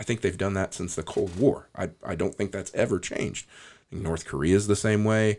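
Heard on a very clean recording with a silent background, a man with an American accent talks in a plain, everyday voice, fairly low in pitch, at a fairly quick pace with ordinary pitch variation and big swings in loudness. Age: 40s. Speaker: podcast host. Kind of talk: casual chat.

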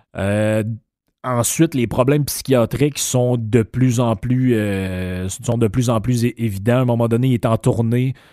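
With a Quebec accent, a man at a medium pitch speaks at a fairly slow pace in a dark, mellow tone, with fairly even intonation, very even loudness and a very clean recording with a silent background. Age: 50s. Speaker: podcast host. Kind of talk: casual monologue. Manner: halting.

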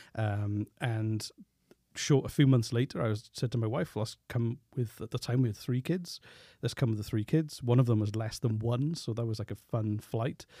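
This man has a medium-pitched, somewhat breathy voice with a dark, mellow tone, moving at a moderate pace with ordinary pitch variation, recorded dry and close with no echo on a very clean track with a silent background. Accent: Welsh. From Wales. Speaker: podcast producer. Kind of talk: casual chat. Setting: studio.

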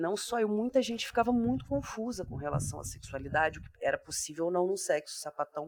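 With a dry, close sound and no echo, a woman speaks at a medium pitch and a moderate pace, her pitch swinging very widely. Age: 30s. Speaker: psychologist and podcaster. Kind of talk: casual chat.

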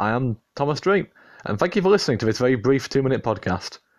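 A man with a normal speaking voice talks at a fairly quick pace and a medium pitch. His intonation is lively against a quiet background. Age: 20s. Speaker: podcast host. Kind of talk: casual monologue.

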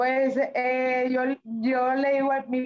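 This woman's voice has a high pitch. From Monterrey, Mexico. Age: 20s. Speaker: professional boxer. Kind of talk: interview.

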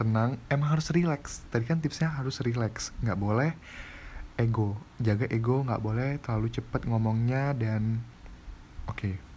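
A man's medium-pitched, somewhat breathy voice, dark and mellow in tone, with ordinary pitch variation. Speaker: university student. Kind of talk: casual student podcast with voice-over practice. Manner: fast.

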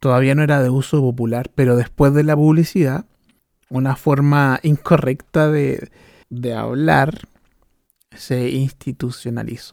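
A man with a Chilean accent speaks at a fairly slow pace. His pitch is medium and his intonation fairly even. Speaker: podcast host. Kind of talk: casual monologue.

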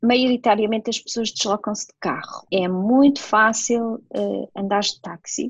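Speaking fairly slowly, a woman sounds somewhat breathy, her intonation fairly even. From northern Portugal, near Porto. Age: 40s. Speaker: nurse. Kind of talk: casual interview.

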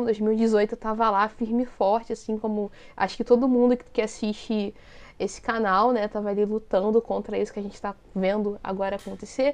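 Against a quiet background, a woman talks at a fairly quick pace in a fairly high pitch with monotone, flat intonation. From Brazil, Rio de Janeiro city. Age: 30s. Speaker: YouTuber and researcher. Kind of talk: casual interview chat.

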